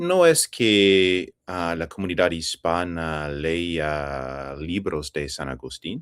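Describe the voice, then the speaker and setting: A man with an English accent speaks at a very deep, low pitch and a very slow pace, with hardly any pauses and ordinary pitch variation. The very clean recording has a silent background and a dry, close sound with no echo. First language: English (speaking Spanish). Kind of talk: interview. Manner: halting, with fillers.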